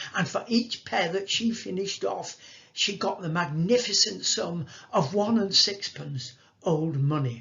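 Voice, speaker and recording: With noticeable background noise behind him, a man speaks in a high pitch. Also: lively intonation. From northern England, Salford. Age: 80s+. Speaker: actor telling life story. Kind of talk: storytelling talk. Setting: video call.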